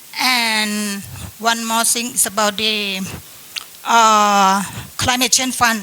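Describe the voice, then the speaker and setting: Amid noticeable background noise, a woman with a fairly high pitch talks fairly slowly with ordinary pitch variation. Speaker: government climate official. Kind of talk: panel discussion. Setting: seminar panel in hotel.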